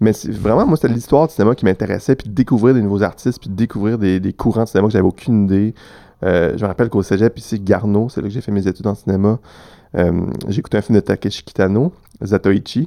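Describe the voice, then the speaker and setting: A man's fairly low, dark and mellow voice at a very fast pace, with ordinary pitch variation and a quiet background. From Quebec City, Quebec. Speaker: film festival programmer. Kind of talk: casual interview.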